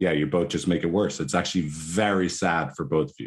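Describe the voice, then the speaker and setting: A man speaks with an Irish accent. His pitch is very deep and low. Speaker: psychotherapist. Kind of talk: interview.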